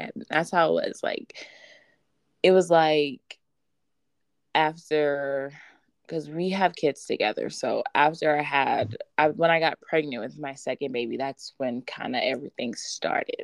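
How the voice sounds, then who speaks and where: In a quiet background, a woman with an American accent speaks at a fairly slow pace with big swings in loudness and a dry, close sound with no echo. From Texas, Houston. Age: 20s. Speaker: guest, mother. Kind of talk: casual chat. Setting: remote call.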